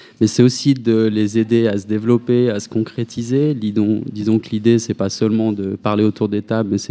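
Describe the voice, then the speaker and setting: The man's voice has a dark, mellow tone and a medium pitch. He talks at a moderate pace with hardly any pauses, in a monotone, flat intonation. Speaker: association founding member. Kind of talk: radio interview.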